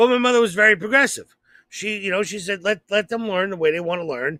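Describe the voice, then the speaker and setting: The bright, sharp tone of a man's voice comes through on a very clean recording with a silent background. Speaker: comedian and podcast co-host. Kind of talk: casual chat. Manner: halting, repeats words.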